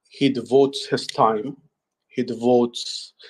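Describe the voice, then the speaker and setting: Speaking with a non-native accent, a man holds a medium pitch. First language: not English. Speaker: human resources professional. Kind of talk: group audio chat. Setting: online audio space.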